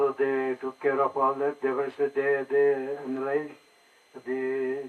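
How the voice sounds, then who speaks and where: A man's fairly high voice at a very slow pace, with music in the background. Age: 80s+. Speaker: conference speaker sharing personal story. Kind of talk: personal talk to an audience.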